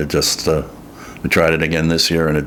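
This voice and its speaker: Noticeable background noise sits behind a man's very deep, low voice, delivered in a monotone, flat intonation. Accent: American. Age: 60s. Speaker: farmer. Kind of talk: interview testimony. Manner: halting.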